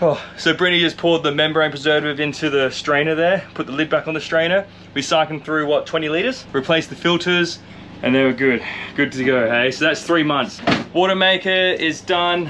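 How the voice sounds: A man's fairly high voice, bright and sharp in tone, with ordinary pitch variation and a fairly quick pace.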